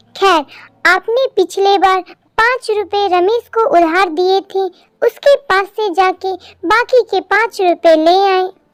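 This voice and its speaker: A woman uses a cartoonish character voice at an extremely high pitch. She speaks at a fairly slow pace. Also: dry, close sound with no echo. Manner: firm, commanding.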